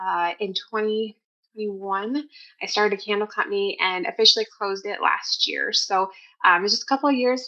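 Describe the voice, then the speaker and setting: Spoken with a South Dakota accent, the voice moves at a fairly quick pace with ordinary pitch variation. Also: woman. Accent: South Dakota, long O. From US Midwest, West River South Dakota. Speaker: homeschooling mother, podcast guest. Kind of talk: interview, casual chat. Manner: fast.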